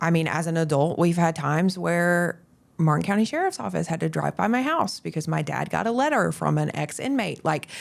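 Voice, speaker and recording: The recording is very clean, and the background is silent. A woman talks fairly quickly. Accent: Southern US. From US South, Florida Panhandle. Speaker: real estate agent. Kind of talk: podcast interview. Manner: conversational.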